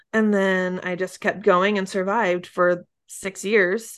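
Against a quiet background, a woman speaks in an unremarkable speaking voice at a medium pitch. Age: 30s. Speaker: podcast host and mom coach. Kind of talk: interview.

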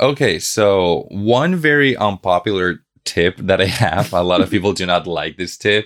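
A man with a Spanish accent and a very deep, low pitch speaks at a very slow pace. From Bolivia. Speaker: language content creator and linguistics student. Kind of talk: casual interview. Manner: animated.

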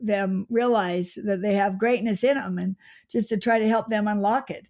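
A woman with an ordinary speaking voice, medium pitch and fairly even intonation. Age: 60s. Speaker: author. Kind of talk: interview conversation.

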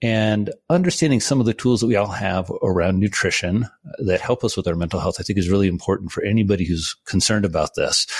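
A man's fairly low-pitched voice with an American accent, very fast with hardly any pauses, at very even loudness and with ordinary pitch variation. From rural Indiana, US Midwest. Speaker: psychiatrist and author. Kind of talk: interview conversation.

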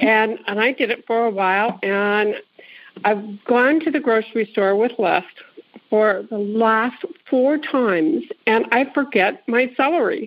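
Using a plain, everyday voice, a woman speaks at a fairly high pitch and a fairly slow pace, with very even loudness and lively intonation. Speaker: caller. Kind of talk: casual chat.

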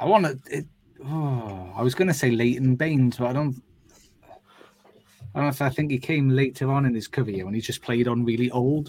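With a Welsh accent, a man speaks at a moderate pace and medium pitch, his pitch varying in an ordinary way. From Wales. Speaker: football podcast co-host. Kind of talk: casual chat.

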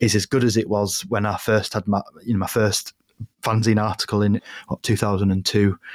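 A fairly low-pitched man with a Yorkshire accent and monotone, flat intonation, in a dry, close sound with no echo. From northern England, York. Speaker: writer and broadcaster. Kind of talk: casual interview chat.

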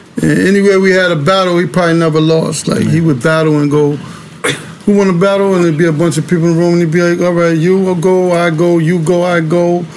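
In a New York accent, a man with a high pitch talks at a very fast pace in a monotone, flat intonation, with audible room echo and noticeable background noise. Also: very even loudness. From New York City, Harlem. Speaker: record label associate. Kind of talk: casual interview chat.

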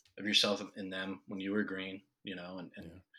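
Fairly quick and bright, sharp in tone, a man with a fairly low pitch speaks with an American accent. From Ohio, US Midwest. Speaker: filmmaker. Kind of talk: interview conversation.

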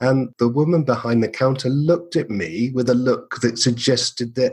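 A man with an English accent speaks at a medium pitch and a moderate pace, somewhat breathy, with very even loudness and ordinary pitch variation. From England. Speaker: marketer and podcast creator. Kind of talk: interview conversation.

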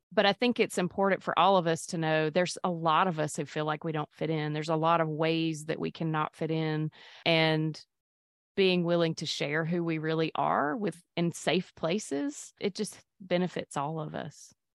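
A woman speaks at a moderate pace. Her voice is fairly low, with fairly even intonation. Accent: Mississippi. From Mississippi, US South. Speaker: physician and podcaster. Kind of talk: interview conversation.

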